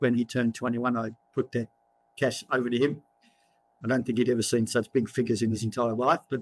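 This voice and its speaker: Speaking very fast with an Australian accent, a man at medium pitch keeps a monotone, flat intonation and leaves long, frequent pauses, with a dry, close sound and no echo. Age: 60s. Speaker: property cycle author and investment newsletter writer. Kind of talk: interview. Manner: halting, many repetitions.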